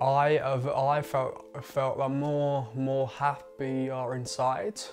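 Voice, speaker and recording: A man at a very slow pace, very even in loudness and fairly even in intonation, with faint music in the background. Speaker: documentary maker talking about stammering. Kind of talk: personal account in documentary. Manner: stammering speech. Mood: earnest, reflective. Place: home room. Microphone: lapel.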